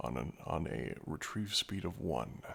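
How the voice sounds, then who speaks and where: A man speaks quietly with vocal fry. His pitch swings very widely. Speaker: gaming streamer. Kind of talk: live game commentary. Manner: quiet, subdued.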